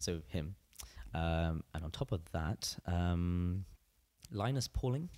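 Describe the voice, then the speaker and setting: A man talks in a very deep, low pitch with a dark, mellow tone. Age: 20s. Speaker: musician. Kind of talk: interview.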